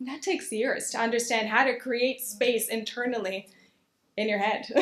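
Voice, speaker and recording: With fairly even intonation, a woman talks in a high-pitched voice. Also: moderate pace. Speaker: opera singer. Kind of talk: public talk.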